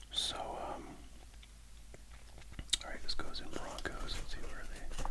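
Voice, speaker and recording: Whispered words come at a moderate speed against noticeable background noise. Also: man. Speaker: ASMR sports card collector and YouTuber. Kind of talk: casual talk to camera about card collecting.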